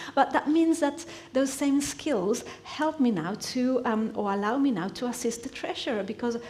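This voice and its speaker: With noticeable background noise and audible room echo, a woman speaks in very wide pitch swings. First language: Spanish. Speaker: church member giving a teaching. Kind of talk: sermon. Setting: church. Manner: halting.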